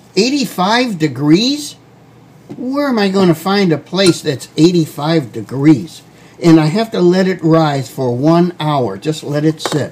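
The speech moves at a very slow pace with very wide pitch swings over light background noise. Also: man, high pitch for a man. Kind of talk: casual tutorial vlog. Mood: self-mocking, bemused. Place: kitchen.

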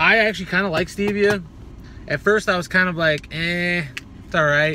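A man at a moderate pace, in a dry sound with no echo, over light background noise. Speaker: fitness YouTuber reviewing supplements. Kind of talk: casual product review video. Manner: profane, laid-back and joking. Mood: laid-back, profane. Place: car. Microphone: phone near.

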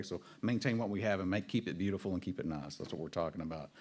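A man in a Texas Panhandle accent, fairly low in pitch, talking at a very fast pace with lively intonation. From Texas Panhandle, Amarillo. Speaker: city government official; presenter. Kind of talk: public presentation at town hall. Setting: town hall meeting. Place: meeting room. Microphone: podium.

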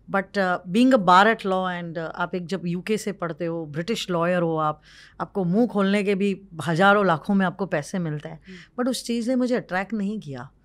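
Her pace is moderate. The woman's pitch shows ordinary variation. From Maharashtra, India (village). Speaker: social entrepreneur and lawyer; lawyer. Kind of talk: interview. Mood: emotional, reflective storytelling. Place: studio. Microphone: studio mic.

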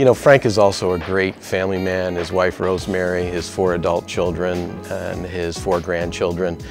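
With clear music in the background, a man with a very deep, low pitch talks at a moderate pace with hardly any pauses and fairly even intonation. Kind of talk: interview answer. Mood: warm, admiring, lightly humorous. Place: office. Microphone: lapel.

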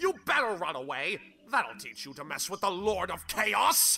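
In a cartoonish character voice, the speaker's pitch swings widely with a bright, sharp tone, a slightly husky edge and vocal fry, while faint music plays in the background. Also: man, high pitch for a man, fairly slow pace.

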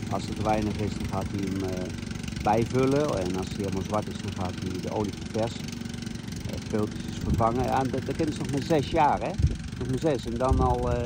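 Loud background noise surrounds speech delivered at a moderate pace. The sound is dry, with no echo. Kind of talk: casual commentary. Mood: proud, playful. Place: garden. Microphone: phone near.

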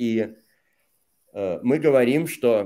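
A man talks at a very slow pace with a dark, mellow tone. The background is quiet. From Russia, St Petersburg; Russia. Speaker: Russian language teacher; interview guest. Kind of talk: casual interview. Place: home room.

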